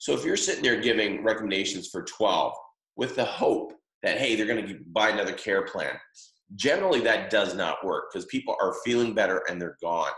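Audible room echo surrounds the recording. A man speaks at a fairly quick pace. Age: 50s. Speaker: chiropractic practice coach. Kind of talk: webinar presentation. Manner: filler-heavy, frequent um and uh.

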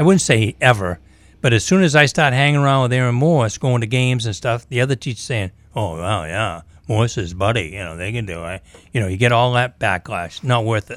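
There is a very clean recording and a silent background as a man talks at a fairly quick pace, medium pitch, with lively intonation. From Maine, US. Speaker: sports analyst and former coach. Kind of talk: casual sports talk radio. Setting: studio.

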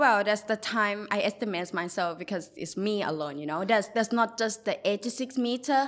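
Speaking with a Thai accent, a woman uses a medium pitch and ordinary pitch variation. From Thailand, Bangkok. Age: 20s. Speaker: mural artist. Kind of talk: interview.

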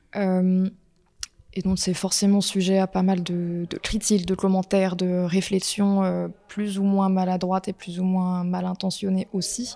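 A woman speaks at a very slow pace with hardly any pauses. Her tone is dark and mellow, her intonation monotone and flat. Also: medium pitch for a woman. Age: 20s. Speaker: portrait photographer. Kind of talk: personal testimony interview.

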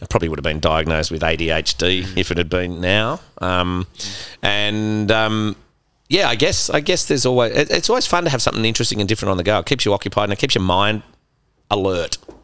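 Speaking fairly quickly with an Australian accent, a man has a bright, sharp tone and ordinary pitch variation, recorded very cleanly against a silent background. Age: 50s. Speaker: gin distillery co-founder. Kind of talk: casual interview. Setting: in a bar.

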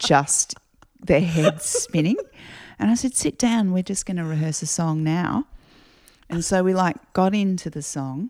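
An Australian accent with long, frequent pauses, on a very clean recording with a silent background. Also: woman, fairly low pitch for a woman, ordinary pitch variation, fairly slow pace. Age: 40s. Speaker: singer-songwriter. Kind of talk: casual interview chat. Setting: at home.

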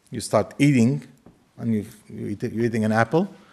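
A man's medium-pitched voice with an Arabic accent, at a moderate pace. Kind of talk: lecture. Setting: lecture hall with audience.

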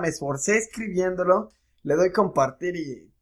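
On a very clean recording with a silent background, a man with a Mexican accent talks at a moderate pace. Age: 20s. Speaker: podcast co-host. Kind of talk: casual chat.

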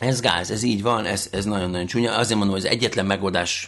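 With ordinary pitch variation and a fairly low pitch, a man speaks at a very fast pace. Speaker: podcast host. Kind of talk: casual chat. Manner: animated.

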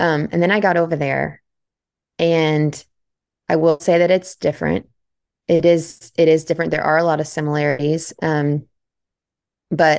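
Very deep and low-pitched, a woman with an American accent speaks in a monotone, flat intonation with vocal fry over a quiet background. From Central Texas. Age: 30s. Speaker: hunter and hunting company marketer. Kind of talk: casual interview chat.

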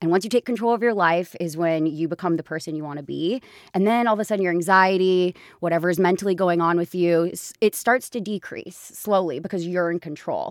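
In a very clean recording with a silent background, a woman talks at a fairly quick pace in a plain, everyday voice, her fairly low pitch showing ordinary variation and the sound dry and close with no echo. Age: 20s. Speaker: podcast host and business founder. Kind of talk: casual chat.

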